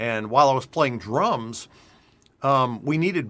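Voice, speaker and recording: The voice is a normal speaking voice, moving at a moderate pace with ordinary pitch variation. The recording is very clean, with a silent background. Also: man. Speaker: heavy metal singer and vocal coach. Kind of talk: interview.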